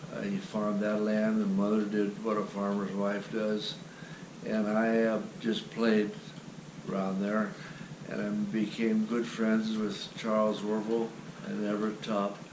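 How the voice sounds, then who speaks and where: A man's fairly slow, monotone, flat delivery with long, frequent pauses, audible room echo and noticeable background noise. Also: fairly low pitch for a man. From US Midwest, western Ohio. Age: 80s+. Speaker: grandfather telling his life story. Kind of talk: family oral history interview.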